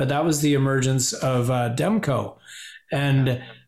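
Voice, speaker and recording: In a Canadian accent, a man with a fairly high pitch speaks at a moderate pace, with audible room echo. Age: 50s. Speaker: podcast guest, hockey fan. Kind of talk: casual chat. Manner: animated.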